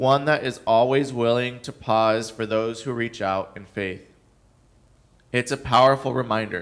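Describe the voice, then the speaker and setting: Speaking in a plain, everyday voice, a man goes at a fairly slow pace with a medium pitch, fairly even intonation and big swings in loudness. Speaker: guest preacher; nonprofit director. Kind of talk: church sermon.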